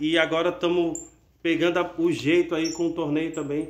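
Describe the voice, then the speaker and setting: A man's high-pitched voice. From Brazil. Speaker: canary breeder and channel host; canary breeder youtuber. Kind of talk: casual video announcement. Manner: animated. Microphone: phone near.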